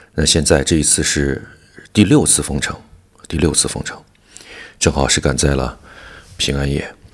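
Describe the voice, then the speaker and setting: A man with a very deep, low voice speaks at a moderate pace, with fairly even intonation. He leaves long, frequent pauses, and noticeable background noise runs throughout. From Wuhan, China. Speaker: podcast host. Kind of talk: audio diary monologue. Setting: at home during lockdown.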